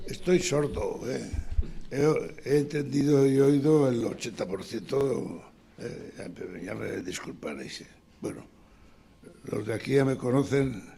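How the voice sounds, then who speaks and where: Amid audible room echo, a man speaks very slowly at a medium pitch with long, frequent pauses, ordinary pitch variation and big swings in loudness. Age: 80s+. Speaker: retired architect, audience member. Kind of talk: seminar discussion. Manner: halting.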